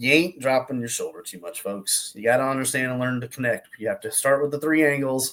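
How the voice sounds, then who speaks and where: A man with a Southern US accent and a medium pitch speaks at a fairly quick pace, his intonation fairly even and his loudness swinging widely. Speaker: golf instructor. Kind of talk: casual online talk. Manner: halting, repetitive.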